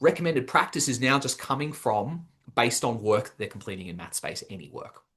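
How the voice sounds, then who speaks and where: Lively intonation fills a man's speech in an Australian accent. The background is quiet. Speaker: education webinar presenter. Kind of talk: webinar presentation. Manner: fast.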